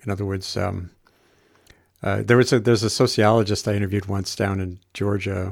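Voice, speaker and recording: A man's fairly low voice, fairly quick and monotone with flat intonation, on a very clean recording with a silent background. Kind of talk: casual conversational discussion. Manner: halting, hedging.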